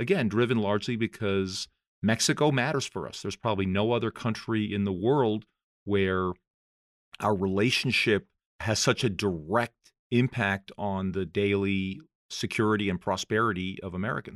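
An ordinary speaking voice from a man, fairly low in pitch, at a moderate pace with ordinary pitch variation, on a very clean recording with a silent background. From South America (raised abroad, US schooling). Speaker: former ambassador. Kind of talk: interview.

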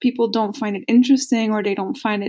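A somewhat breathy woman's voice, fairly high in pitch with a dark, mellow tone and ordinary pitch variation. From Belgium. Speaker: Arabic learner sending a message. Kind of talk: recorded voice message.

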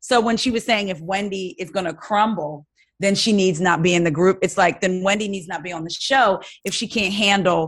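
An unremarkable speaking voice from a woman with an American accent, medium pitch, ordinary pitch variation and a fairly quick pace, with a quiet background. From New Jersey. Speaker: podcast host, guest. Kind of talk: casual chat.

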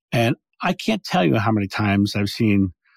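A man with an ordinary speaking voice talks at a fairly low pitch with fairly even intonation, in a very clean recording with a silent background and a dry, close sound with no echo. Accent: American. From Delaware, US. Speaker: past life regression speaker. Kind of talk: interview.

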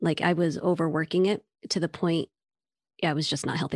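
In a dry, close sound with no echo and a quiet background, a woman with a fairly low pitch talks at a very fast pace in a monotone, flat intonation. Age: 30s. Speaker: therapist and burnout educator. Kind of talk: casual chat.

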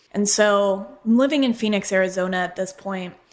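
A woman of medium pitch has a normal speaking voice with ordinary pitch variation. The recording is very clean, the background silent. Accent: American. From Colorado, US. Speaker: podcast host and butcher shop owner. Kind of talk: solo personal storytelling monologue.

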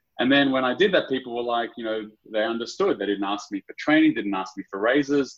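The man keeps a fairly quick pace. His pitch variation is ordinary. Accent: Australian. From Sydney, Australia. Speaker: startup founder and CEO. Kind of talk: casual interview.

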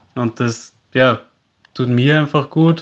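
A man with a normal speaking voice, medium pitch and fairly even intonation, over a quiet background. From Austria, Salzburg. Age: 20s. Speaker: landscape photographer, content creator. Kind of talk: interview.

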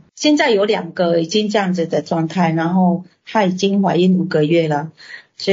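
Pitch rises and falls in an ordinary way. The speech moves at a moderate pace. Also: woman. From Indonesia. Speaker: restaurant owner and translator. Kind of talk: interview. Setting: video call. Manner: halting.

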